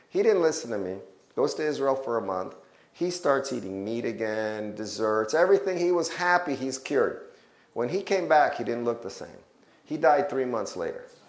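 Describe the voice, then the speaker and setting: Very wide pitch swings from a man with a fairly high pitch, at a moderate pace, with audible room echo. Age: 60s. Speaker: health educator. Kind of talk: testimony. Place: hall. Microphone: lapel.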